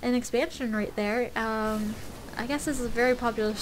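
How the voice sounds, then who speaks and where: A woman's fairly high-pitched voice with monotone, flat intonation. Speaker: gamer commentating own match. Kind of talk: gameplay commentary. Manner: fast; hesitant, many fillers.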